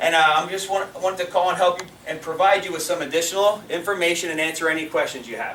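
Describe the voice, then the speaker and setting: Over noticeable background noise and audible room echo, a man with a high voice talks at a very fast pace in an animated tone. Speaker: network marketing leader. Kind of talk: sales training talk. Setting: stage with audience.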